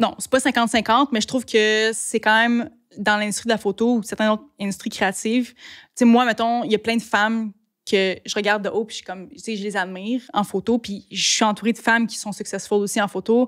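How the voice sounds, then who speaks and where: On a very clean recording with a silent background, a woman with a fairly high pitch speaks fairly quickly, with fairly even intonation and big swings in loudness. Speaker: photographer and videographer. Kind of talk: podcast interview. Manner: fast.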